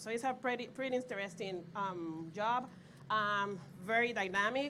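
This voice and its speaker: A woman speaks with a Puerto Rican accent. Her tone is bright and sharp, and her pitch varies in an ordinary way. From Puerto Rico. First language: Spanish. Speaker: pharmaceutical equipment validation lead. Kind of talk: panel discussion. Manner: hesitant, many fillers.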